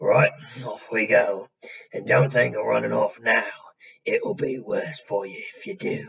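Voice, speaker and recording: A raspy, put-on character voice from a man moves at a fairly slow pace with big swings in loudness. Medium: read story. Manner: gloating, spiteful.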